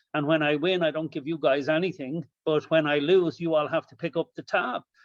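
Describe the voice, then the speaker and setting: In an Irish accent, a man with a fairly high pitch speaks in a monotone, flat way, with a dry, close sound, no echo and a quiet background. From Ireland. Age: 50s. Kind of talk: panel discussion.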